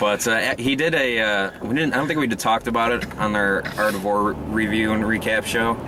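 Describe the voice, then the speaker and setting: Medium-pitched male voice at a fairly quick pace, with hardly any pauses, very even loudness, ordinary pitch variation and noticeable background noise. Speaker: wrestling podcast host. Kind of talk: casual chat. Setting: in a car.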